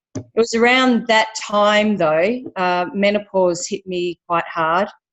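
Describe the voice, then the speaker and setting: At a very slow pace, a woman with an Australian accent speaks at medium pitch. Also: ordinary pitch variation. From Western Australia. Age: 50s. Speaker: personal trainer. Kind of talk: testimony.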